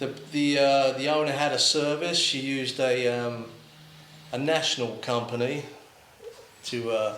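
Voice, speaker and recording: Amid noticeable background noise and audible room echo, a man talks at a fairly slow pace with long, frequent pauses. His voice is fairly high, his intonation fairly even. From London, England. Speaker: lawn care video creator. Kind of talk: casual interview chat. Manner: hesitant, many fillers.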